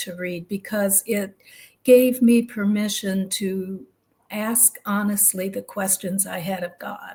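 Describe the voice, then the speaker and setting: A woman talks at a fairly slow pace in a somewhat breathy voice of medium pitch, on a very clean recording with a silent background. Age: 70s. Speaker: retired minister. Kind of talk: interview.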